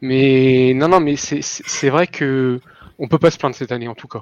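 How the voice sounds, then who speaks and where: Speaking in an ordinary speaking voice, this man keeps a moderate pace, a medium pitch and fairly even intonation. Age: 30s. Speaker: retail worker, gaming fan. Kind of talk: casual chat.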